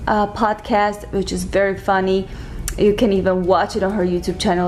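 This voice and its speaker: Fairly quick, monotone, flat delivery in a non-native accent, with music in the background. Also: woman. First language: not English. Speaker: lifestyle YouTuber. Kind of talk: casual tutorial. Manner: casual, conversational with fillers.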